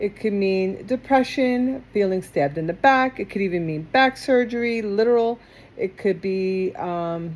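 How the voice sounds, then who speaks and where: Lively intonation marks this woman's fairly high voice, spoken with an American accent. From New York (Queens). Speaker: tarot reader. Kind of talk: tarot reading. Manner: controlled diction, tries not to speak too quickly.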